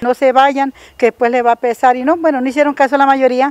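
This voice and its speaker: In a dry sound with no echo, a woman speaks at a high pitch. Her intonation is fairly even. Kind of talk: interview answer. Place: street. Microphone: handheld.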